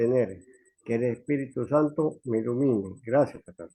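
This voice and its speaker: A man's dark, mellow voice at a medium pitch with ordinary pitch variation. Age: 70s. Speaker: student in Bible class. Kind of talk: class participation.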